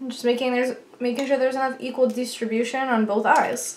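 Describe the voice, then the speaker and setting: A mumbling woman's voice, high in pitch. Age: 20s. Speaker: beauty vlogger. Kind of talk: makeup tutorial. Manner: casual, chatty.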